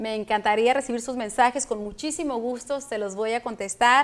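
A high-pitched woman keeps her intonation fairly even while speaking at a moderate speed. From Mexico (Michoacán). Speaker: film producer; guest. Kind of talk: interview. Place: studio.

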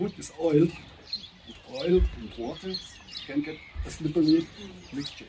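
Noticeable background noise sits behind a man's voice. He speaks at a high pitch and a moderate pace. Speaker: boat trip guide. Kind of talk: safety briefing to a group. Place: garden.

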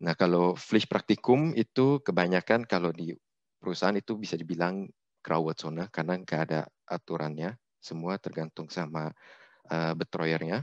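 Recorded with a dry sound with no echo and a quiet background, a man speaks at a very deep, low pitch and a moderate pace, with ordinary pitch variation. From Indonesia. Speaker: engineer, webinar speaker; webinar speaker. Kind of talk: presentation. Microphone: video call.

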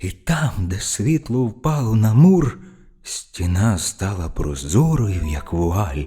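A man with a somewhat breathy, dark, mellow tone and very wide pitch swings on a very clean recording with a silent background. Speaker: professional narrator. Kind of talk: fairy tale reading. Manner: calm.

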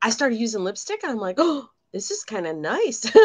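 Against a quiet background, the woman's intonation stays lively. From Michigan. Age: 50s. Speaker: beauty consultant, makeup tutorial co-host; makeup tutorial co-host. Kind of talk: makeup tutorial livestream, casual. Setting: video livestream, remote. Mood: light, chatty. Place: home room. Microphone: video call.

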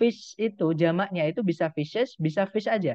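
A man talks at a high pitch, varying it in an ordinary way. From East Java, Indonesia. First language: Javanese (speaking Indonesian). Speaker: English teacher. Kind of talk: online lecture. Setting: video call.

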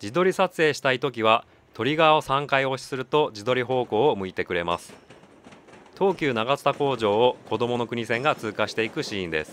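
This man has a plain, everyday voice at a medium pitch. His intonation is lively and his pace fairly quick. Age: 40s. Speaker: YouTuber reviewing camera gear on station walks. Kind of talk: post-recorded voice-over narration of product review.

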